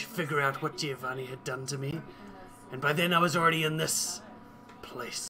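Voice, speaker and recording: A man's put-on character voice, raspy and fairly high in pitch, at a moderate pace with long, frequent pauses and music in the background. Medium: actual play. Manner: haughty, sly.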